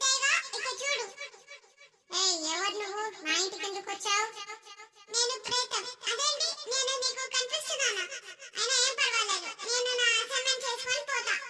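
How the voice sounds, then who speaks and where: This is a cartoonish character voice at an extremely high pitch. It goes at a moderate pace. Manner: casual, colloquial.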